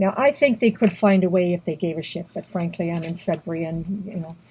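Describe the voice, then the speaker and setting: Talking at a fairly quick pace with a Canadian accent, a woman has a medium, ordinarily varied pitch and a dark, mellow, somewhat breathy tone. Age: 70s. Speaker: activist. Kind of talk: personal testimony vlog. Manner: halting. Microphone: poor audio.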